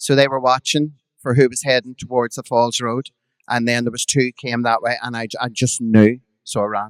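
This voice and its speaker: A man with a Belfast accent speaks in a monotone, flat way at a moderate pace and medium pitch, recorded very cleanly against a silent background with a dry, close sound and no echo. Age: 50s. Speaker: drag performer. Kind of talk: storytelling on a live podcast. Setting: stage with audience.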